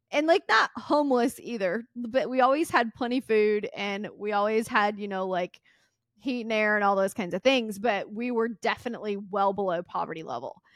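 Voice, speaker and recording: A woman's fairly high voice in a Southern US accent, with ordinary pitch variation, dry and close with no echo, on a very clean recording with a silent background. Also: moderate pace. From US South, Mississippi. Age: 30s. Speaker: podcast host and entrepreneur. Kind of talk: casual interview chat.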